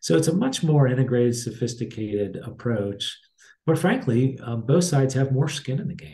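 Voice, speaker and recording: A man with an American accent speaks at a fairly quick pace, his medium-pitched voice dark, mellow and somewhat breathy. His intonation is lively, and his loudness swings widely. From Pittsburgh, Pennsylvania. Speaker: college president; guest. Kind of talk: interview. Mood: calm, measured. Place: office. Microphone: webcam.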